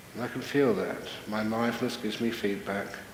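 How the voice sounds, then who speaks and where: Background noise is noticeable here. A man does the talking. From British-Australian. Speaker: Buddhist monk and meditation teacher. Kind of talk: guided meditation. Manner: calm, slow, soft-spoken.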